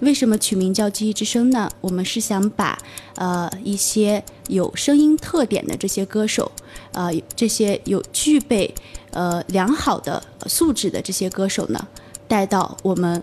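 A woman's medium-pitched voice with lively intonation at a fairly slow pace, music in the background. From Gansu, northwest China. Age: young. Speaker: entrepreneur. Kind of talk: radio interview. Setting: radio studio. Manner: hesitant, many fillers.

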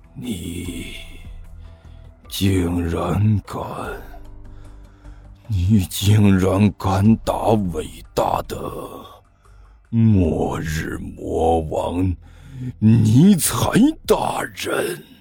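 A man uses a put-on character voice, low in pitch and dark and mellow in tone, with a husky, rough edge and vocal fry. He speaks at a very slow pace with ordinary pitch variation and long, frequent pauses, over faint background music.

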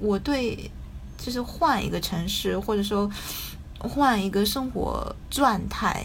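The speech comes very slowly with a slight Taiwanese accent. Noticeable background noise and audible room echo are present. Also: woman. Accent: slight Taiwanese-tinged Mandarin. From Japan. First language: Japanese (speaking Chinese). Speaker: writer. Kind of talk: casual chat. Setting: video call. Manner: hesitant, many fillers.

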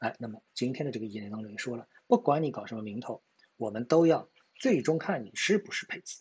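A man talks at a very fast pace with lively intonation and a medium pitch. His voice is somewhat breathy, and its loudness swings widely. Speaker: stock market commentator. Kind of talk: market analysis monologue. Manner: hesitant with many fillers.

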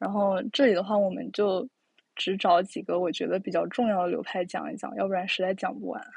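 A woman speaks at a medium pitch with vocal fry. Her pace is fairly quick, and her pitch varies in an ordinary way. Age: young. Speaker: podcast host. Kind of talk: casual chat. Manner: hesitant, many fillers.

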